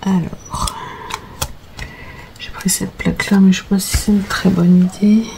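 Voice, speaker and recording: With noticeable background noise behind her, a woman at medium pitch speaks at a fairly slow pace in a monotone, flat intonation, leaving long, frequent pauses. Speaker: crafter. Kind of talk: tutorial. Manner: casual with many hesitations.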